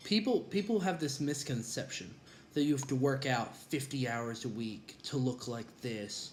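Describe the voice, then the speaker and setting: Audible room echo carries a man's somewhat breathy voice at a medium pitch. He speaks at a moderate pace with lively intonation. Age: 20s. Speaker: college student and former wrestler. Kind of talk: vlog monologue. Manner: casual with frequent fillers.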